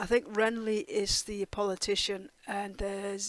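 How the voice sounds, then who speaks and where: At a fairly slow pace, a woman speaks at medium pitch. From Denmark. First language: Danish. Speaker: TV reaction youtuber. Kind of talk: casual review monologue. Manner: hesitant, many fillers.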